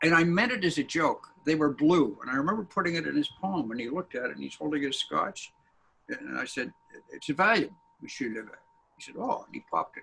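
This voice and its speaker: A man with a Canadian accent talks at a very fast pace. His loudness swings widely. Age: 70s. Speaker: editorial cartoonist. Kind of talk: interview.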